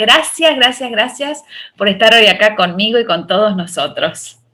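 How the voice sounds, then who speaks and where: A woman speaks at a moderate pace with a plain, everyday voice. Her pitch is fairly high and her intonation lively. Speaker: interview host. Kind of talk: podcast interview host.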